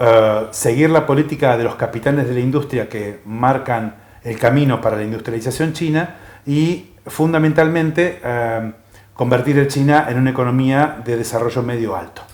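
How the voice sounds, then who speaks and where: Speaking with a medium pitch, a man keeps a moderate pace and ordinary pitch variation. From Argentina. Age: 60s. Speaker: economist and China scholar. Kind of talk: interview. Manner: halting, many filler pauses.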